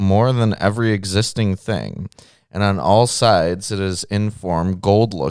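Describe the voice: Fairly even intonation in plain reading aloud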